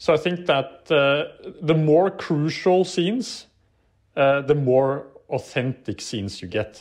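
A man speaks very slowly with a Norwegian accent and a fairly high pitch. His intonation is lively. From Norway. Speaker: documentary director. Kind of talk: interview. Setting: remote call. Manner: halting.

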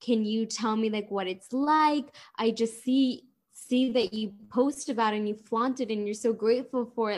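With an American accent, a woman speaks in a plain, everyday voice at a moderate pace, her pitch fairly high and her intonation fairly even. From Miami, Florida. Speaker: heart patient advocate and dancer. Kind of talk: casual interview chat.

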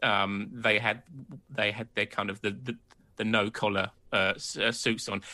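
Moderate pacing and fairly even intonation in a British accent, bright and sharp in tone, against a quiet background. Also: man, fairly low pitch for a man. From Britain. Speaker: podcast host. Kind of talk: casual chat. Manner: halting.

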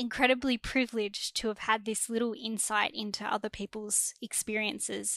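Heard dry and close with no echo, a woman talks at a moderate pace with hardly any pauses. Her fairly high voice is bright and sharp, with monotone, flat intonation. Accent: Australian. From Australia. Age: 20s. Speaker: graduate student. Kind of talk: casual chat.

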